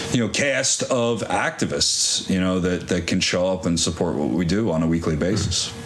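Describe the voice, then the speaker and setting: A man with a very deep, low voice speaks at a moderate pace with hardly any pauses, ordinary pitch variation and very even loudness. Noticeable background noise runs behind him. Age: 40s. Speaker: activist media company co-owner. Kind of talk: casual chat. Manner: even tone; loud when excited.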